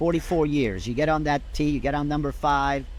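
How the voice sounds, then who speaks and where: A man with a French Canadian accent at a moderate pace, with audible room echo. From Quebec, Canada. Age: 70s. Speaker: golf director emeritus. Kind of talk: interview. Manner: passionate.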